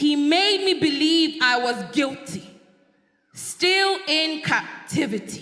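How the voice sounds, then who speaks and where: A woman projects a raised, high-pitched voice at a very slow pace. Her intonation is lively while her loudness stays very even. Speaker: spoken word poet. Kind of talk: spoken word poetry performance.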